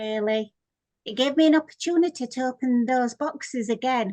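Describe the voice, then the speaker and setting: With a Yorkshire accent, a woman talks at a high pitch. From Yorkshire, northern England. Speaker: author. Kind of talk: interview.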